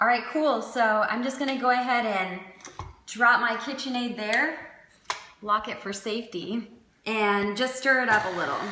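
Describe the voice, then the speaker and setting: Over noticeable background noise and audible room echo, a woman talks at a moderate pace in a fairly high pitch with ordinary pitch variation. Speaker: fitness cooking channel host. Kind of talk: cooking tutorial. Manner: casual, with many fillers.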